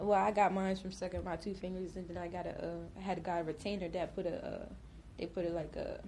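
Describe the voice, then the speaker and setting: Speaking at a very fast pace with vocal fry, a woman keeps a monotone, flat intonation amid audible room echo. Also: medium pitch for a woman. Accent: American. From New Jersey, Willingboro. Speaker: podcast guest. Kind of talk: casual chat.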